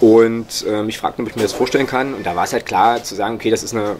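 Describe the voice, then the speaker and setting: Against noticeable background noise, a man rattles along at a very fast pace with a fairly low pitch and fairly even intonation. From Saxony-Anhalt, Magdeburg; Saxony-Anhalt. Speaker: author and football blogger; football blogger. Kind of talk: interview. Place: home room. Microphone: studio mic.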